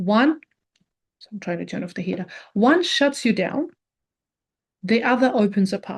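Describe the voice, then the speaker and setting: Her fairly high pitch carries lively intonation as a woman speaks at a moderate pace. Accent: non-native. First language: not English. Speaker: personal growth video creator. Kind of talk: reflective monologue.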